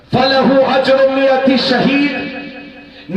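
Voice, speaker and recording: An extremely high-pitched man with a passionate tone over noticeable background noise. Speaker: Islamic cleric giving a sermon. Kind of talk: Islamic sermon (takreer) to a live audience. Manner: passionate, rhetorical, addressing the crowd with questions.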